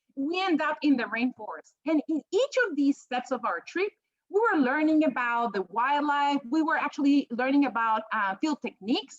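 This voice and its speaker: With a strong Peruvian accent, a woman speaks at a moderate pace in a high voice with lively intonation and hardly any pauses, the sound dry and close with no echo. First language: Spanish. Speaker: professor. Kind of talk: panel presentation.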